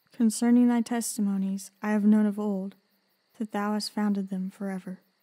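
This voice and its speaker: A woman with a medium-pitched voice speaks at a moderate pace in a monotone, flat intonation. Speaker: scripture narrator. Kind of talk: Bible reading.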